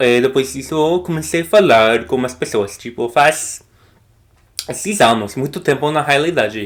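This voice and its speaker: With an English accent, a man speaks at a fairly slow pace in a medium pitch and lively intonation. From United States. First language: English (speaking Portuguese). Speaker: language learner vlogger. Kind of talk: casual vlog talk to camera. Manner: halting, many fillers and restarts.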